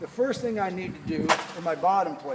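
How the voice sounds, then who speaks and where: A loud man with a high pitch and lively intonation comes through audible room echo and noticeable background noise. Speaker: carpentry instructor. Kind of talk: hands-on tutorial.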